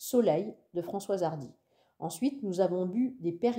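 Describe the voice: Over a quiet background comes plain reading aloud.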